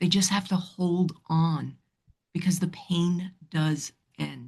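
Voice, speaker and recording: A slightly breathy voice with a faint New York accent speaks at a fairly slow pace. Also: woman. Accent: slight New York. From New York City. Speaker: relationship counselor. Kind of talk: podcast interview. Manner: animated.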